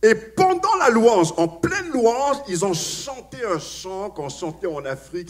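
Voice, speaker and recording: High in pitch, a man speaks with very wide pitch swings. Noticeable background noise is present. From Africa. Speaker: pastor. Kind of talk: sermon. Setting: church. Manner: hesitant, many fillers and repetitions.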